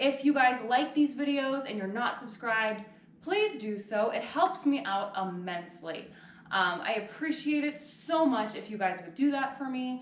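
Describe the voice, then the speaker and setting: Big swings in loudness mark a woman's fairly high-pitched voice, heard with noticeable background noise and audible room echo. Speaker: yoga instructor. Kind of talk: fitness class instruction. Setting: home living room. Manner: casual, chatty with filler words.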